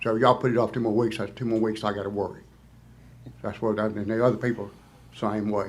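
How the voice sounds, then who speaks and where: Talking at a very fast pace yet with long, frequent pauses, a man in a Mississippi accent keeps a fairly low pitch and a monotone, flat intonation. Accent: Southern US (Mississippi). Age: 70s. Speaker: resident speaking at public hearing. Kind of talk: public comment.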